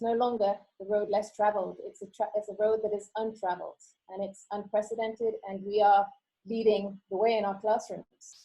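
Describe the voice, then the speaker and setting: Talking at a moderate pace, a woman with a British accent keeps a monotone, flat intonation. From UK, childhood in Costa Rica and Kenya. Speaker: teacher. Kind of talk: conference talk. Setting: online video presentation. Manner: hesitant, many fillers.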